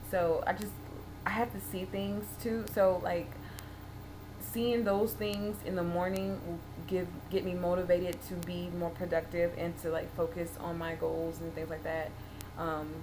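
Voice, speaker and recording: With noticeable background noise and audible room echo, a woman speaks at a fairly low pitch with very wide pitch swings. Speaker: vlogger. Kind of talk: video diary. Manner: fast.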